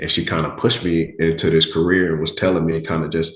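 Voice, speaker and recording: A man's very deep, low voice with an American accent, very fast and monotone with flat intonation. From Miami, Florida. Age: 30s. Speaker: firefighter-paramedic. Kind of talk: interview. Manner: casual, conversational.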